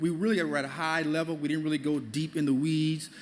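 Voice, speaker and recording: Speaking at a very fast pace, the man has a fairly high pitch. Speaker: government financial aid outreach supervisor. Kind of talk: presentation to audience. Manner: animated.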